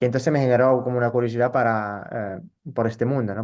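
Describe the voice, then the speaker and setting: Against a quiet background, a man speaks at a very fast pace in an Italian accent. His intonation stays fairly even. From northern Italy, rural. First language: Italian (speaking Spanish). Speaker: psychologist and social theatre educator. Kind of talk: interview. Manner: halting, with fillers and repetitions.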